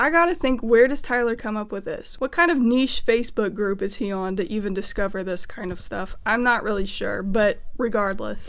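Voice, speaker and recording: A woman with an Appalachian accent, fairly high-pitched and fairly quick. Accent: Appalachian American. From Appalachia, US. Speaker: music theory YouTuber. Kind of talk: casual video essay.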